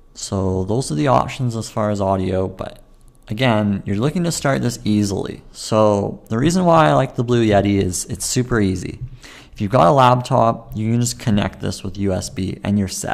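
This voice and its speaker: Here is a man with an ordinary speaking voice and a fairly low pitch. He talks at a moderate pace with lively intonation. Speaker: podcaster. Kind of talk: solo tutorial talk about podcasting. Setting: home recording with webcam and microphone. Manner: casual, conversational.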